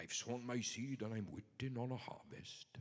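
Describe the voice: At a moderate pace, a man performs in a put-on character voice. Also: medium pitch for a man.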